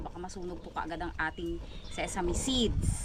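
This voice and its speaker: A woman speaks fairly quickly with ordinary pitch variation. Noticeable background noise runs underneath. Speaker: vlogger. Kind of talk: cooking tutorial. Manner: casual, chatty; soft voice.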